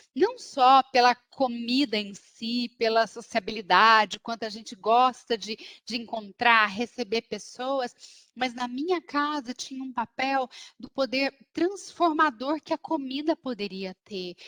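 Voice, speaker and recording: A woman with a Minas Gerais accent speaks at a fairly slow pace, her high-pitched, animated voice bright and sharp in tone, with ordinary pitch variation. Her loudness swings a lot, in a dry, close recording with no echo. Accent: Minas Gerais (mineiro). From Minas Gerais, Brazil. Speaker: business strategist. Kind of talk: talk. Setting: video call.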